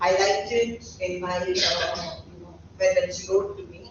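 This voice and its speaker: A woman with an Indian accent speaks at a fairly slow pace with lively intonation. Audible room echo and noticeable background noise surround her. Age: 60s. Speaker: professor. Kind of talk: lecture. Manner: halting.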